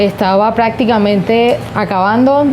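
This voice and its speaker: A woman's fairly high voice in a Colombian Caribbean accent, at a fairly slow pace, with noticeable background noise and audible room echo. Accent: Colombian Caribbean (costeño) Spanish. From Colombian Caribbean coast, Arjona, Bolívar. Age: 20s. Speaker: lawyer and regional politician. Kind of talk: interview. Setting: sitting in a rocking chair, Cartagena.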